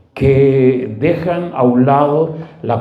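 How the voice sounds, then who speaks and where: A man's medium-pitched voice with fairly even intonation, noticeable background noise and audible room echo. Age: 70s. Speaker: pastor. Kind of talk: sermon.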